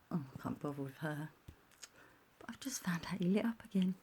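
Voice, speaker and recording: A quiet woman's voice, dark and mellow in tone, with vocal fry. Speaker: vlogger. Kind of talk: personal rant vlog. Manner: talking quietly; animated.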